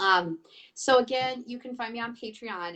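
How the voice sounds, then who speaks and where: Over a quiet background, a woman with a Michigan accent speaks fairly slowly with lively intonation. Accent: nasal Michigan. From Michigan, US Midwest. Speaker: talk show host, priestess and healer. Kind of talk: live-stream interview. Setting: Facebook live stream.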